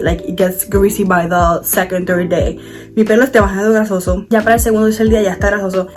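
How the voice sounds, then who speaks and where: A woman talks at a medium pitch, with ordinary pitch variation, as music plays behind her. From Puerto Rico. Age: 20s. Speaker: beauty content creator. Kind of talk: casual talk to camera, bilingual hair tutorial.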